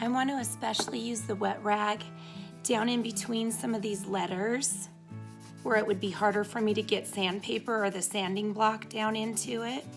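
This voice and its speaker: With music playing in the background, a woman talks at a moderate pace. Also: medium pitch for a woman, ordinary pitch variation. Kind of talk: DIY tutorial narration. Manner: casual, friendly.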